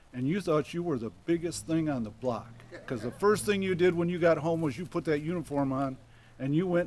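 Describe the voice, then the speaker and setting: A man with an American accent talks at a very fast pace in a fairly high pitch with ordinary pitch variation. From Michigan. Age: 70s. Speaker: local resident speaker. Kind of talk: public speech. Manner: casual.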